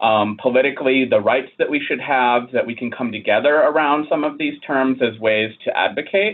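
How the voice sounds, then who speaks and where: At a moderate speed and medium pitch, a man talks in a plain, everyday voice. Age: 30s. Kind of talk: interview conversation.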